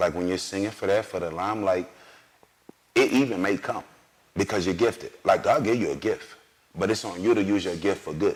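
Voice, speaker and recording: Noticeable background noise accompanies a man talking. He speaks at a very fast pace in an animated tone. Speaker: singer. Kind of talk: interview.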